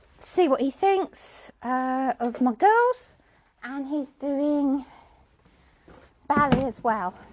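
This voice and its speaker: A woman's high-pitched voice, dry and close with no echo, over noticeable background noise. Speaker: podcaster and horse owner. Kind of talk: casual vlog chat. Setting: outdoors.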